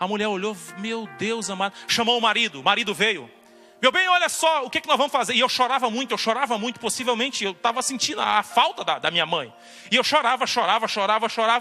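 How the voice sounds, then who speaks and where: Over music in the background, a man with an extremely high pitch speaks in a raised, projected voice at a very fast pace with lively intonation. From Brazil, Fortaleza (Ceará). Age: 30s. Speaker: preacher giving testimony. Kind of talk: testimony.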